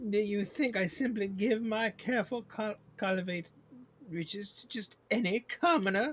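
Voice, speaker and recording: Here a man puts on a character voice at a high pitch. He keeps a moderate pace. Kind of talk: game stream reading dialogue aloud. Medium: game voice-over. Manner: haughty, angry.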